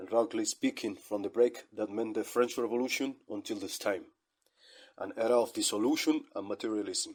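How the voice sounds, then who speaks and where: In a very clean recording with a silent background, a man with a non-native accent speaks at a moderate pace. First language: not English. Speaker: online radio host. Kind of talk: scripted monologue.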